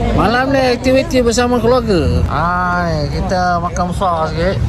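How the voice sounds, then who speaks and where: The speaker has a slight Kelantan accent. Crowd noise sits in the background, and room echo is audible. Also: man. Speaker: travel vlogger. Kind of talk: casual travel vlog. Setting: outdoors at a market. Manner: animated.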